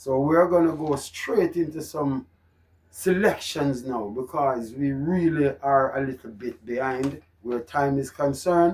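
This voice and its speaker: The man's pitch is fairly high, with ordinary pitch variation. He speaks at a fairly slow pace. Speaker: horse racing tipster. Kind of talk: racing tips presentation. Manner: loud; animated.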